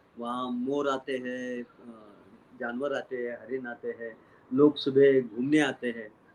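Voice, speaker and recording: A man's medium-pitched voice stays monotone and flat in intonation while his loudness swings widely. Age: 70s. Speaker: retired university vice-chancellor and media academic. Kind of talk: interview. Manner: hesitant, many fillers.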